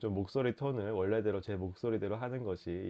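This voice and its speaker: The speaker is a man with fairly even intonation. He goes at a moderate pace. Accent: slight Busan. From Busan, South Korea. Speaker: writer, lawyer and culture critic. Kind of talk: casual talk to camera.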